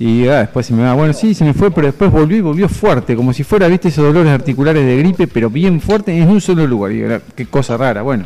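With hardly any pauses and a very fast pace, a man speaks in a fairly high voice with a dark, mellow tone and lively intonation. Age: 40s. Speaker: medical doctor, health columnist. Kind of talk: radio interview, health column.

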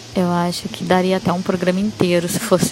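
A woman with a medium pitch speaks at a moderate pace while noticeable background noise carries on. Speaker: musician guest. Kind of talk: interview answer.

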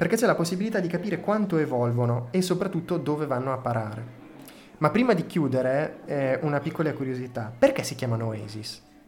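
In a strong Emilian accent, a man talks at a fairly quick pace with lively intonation and a fairly high pitch. Noticeable background noise and audible room echo fill the recording. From Reggio Emilia, northern Italy. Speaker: podcast host. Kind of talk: storytelling podcast monologue.

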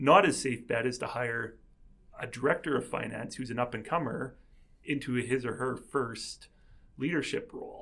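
This man has an unremarkable speaking voice, pitched at a medium level, with fairly even intonation and a moderate pace. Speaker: podcast host. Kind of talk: interview conversation.

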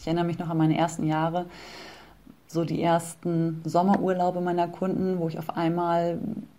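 Here a woman talks with a fairly low pitch. She holds a moderate pace. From northern Germany (Bremen). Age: 30s. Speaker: personal trainer. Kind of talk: interview.

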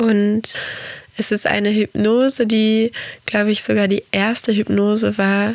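Her intonation monotone and flat, a woman talks at a very slow pace. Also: dry, close sound with no echo. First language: Portuguese (speaking German). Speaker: podcast host and meditation guide. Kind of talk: podcast monologue. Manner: soft-spoken.

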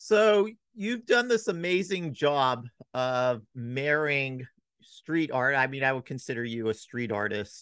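An unremarkable speaking voice from a man, medium in pitch, fairly slow, with lively intonation over a quiet background. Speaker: podcast host. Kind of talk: podcast interview with sponsor reads. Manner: uses many fillers.

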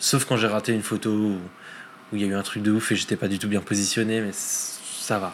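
This man speaks at a fairly quick pace in a fairly low pitch, his intonation monotone and flat. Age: 30s. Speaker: climate scientist and storm chaser. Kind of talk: casual interview.

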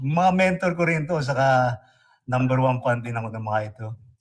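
At a moderate pace, a man speaks with a fairly high pitch. His voice is somewhat breathy. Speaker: radio announcer. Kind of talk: casual chat. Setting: video call.

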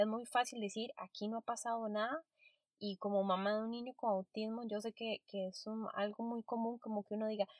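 The woman speaks at a fairly quick pace. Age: 30s. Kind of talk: solo podcast monologue.

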